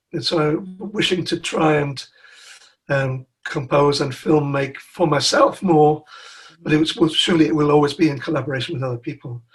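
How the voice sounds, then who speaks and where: Here a man talks at a moderate pace with a fairly high pitch. His voice is somewhat breathy, and his intonation stays fairly even. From northern England, Newcastle. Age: 60s. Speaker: musician. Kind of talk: interview. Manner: halting, frequent repetitions.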